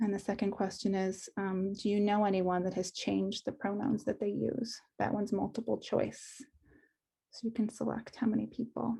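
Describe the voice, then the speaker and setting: A woman's medium-pitched voice has a dark, mellow tone with vocal fry, very even loudness and fairly even intonation. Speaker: school psychologist. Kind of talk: presentation. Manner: fast.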